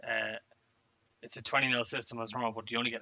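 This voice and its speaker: Very fast and monotone, a man talks with flat intonation in an Irish accent. His pitch sits at a medium level. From Ireland. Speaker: wargaming player. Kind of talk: casual chat. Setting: live stream.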